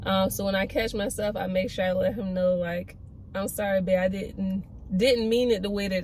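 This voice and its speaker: A woman's medium-pitched voice keeps fairly even intonation at a moderate pace while noticeable background noise continues. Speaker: pregnancy vlogger and cosmetologist. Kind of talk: casual vlog talk to camera. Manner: monotone; hesitant, many fillers.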